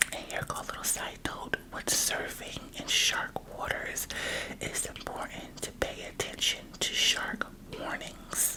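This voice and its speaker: Whispered words come at a fairly slow pace against noticeable background noise. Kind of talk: ASMR book reading, children's nonfiction. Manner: soft-spoken, whispery.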